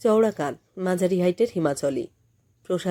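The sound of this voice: An unforced voice reads the text, its pitch rising and falling in a usual way.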